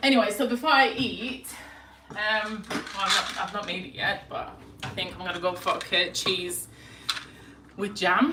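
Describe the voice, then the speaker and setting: A woman with a medium pitch and ordinary pitch variation speaks at a moderate pace with long, frequent pauses and big swings in loudness, over noticeable background noise and audible room echo. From Lithuania. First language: Lithuanian. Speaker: lifestyle vlogger. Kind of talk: casual chat. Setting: live stream at home. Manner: hesitant.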